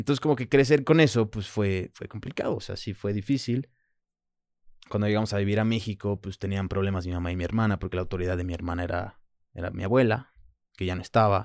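A fairly low-pitched man at a very fast pace, with ordinary pitch variation, in a very clean recording with a silent background. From France, then Mexico (Manzanillo) from age 7. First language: French (speaking Spanish). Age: 30s. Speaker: former rugby captain and model. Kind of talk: casual chat.

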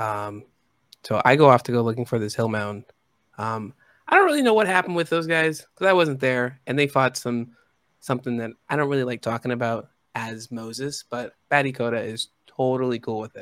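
A man with a normal speaking voice, medium pitch and ordinary pitch variation, at a fairly quick pace, in a dry, close sound with no echo on a very clean recording with a silent background. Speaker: player in tabletop game. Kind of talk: tabletop role-playing stream, casual and joking.

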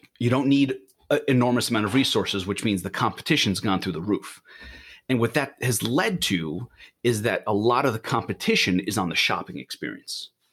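A man's medium-pitched, plain, everyday voice with an American accent, lively intonation, and a fairly quick pace. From New York. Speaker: startup founder. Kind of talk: interview. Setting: remote call.

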